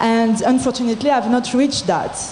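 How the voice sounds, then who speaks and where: A voice in a French accent with audible room echo and noticeable background noise. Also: woman. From France. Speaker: entrepreneur in audience. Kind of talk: audience comment at panel. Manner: halting.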